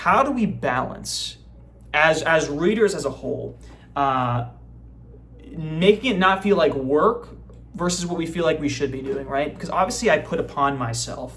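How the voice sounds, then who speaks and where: Audible room echo, long and frequent pauses, and noticeable background noise. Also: man, lively intonation, moderate pace. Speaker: book vlogger. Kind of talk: casual chat.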